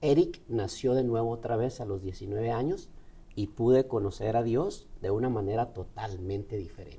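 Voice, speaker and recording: A somewhat breathy voice with a dark, mellow tone, a Chihuahua Mexican accent and a moderate pace. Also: man, medium pitch for a man, ordinary pitch variation. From northern Mexico (Ciudad Juárez, Chihuahua). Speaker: motivational speaker. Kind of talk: interview. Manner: halting.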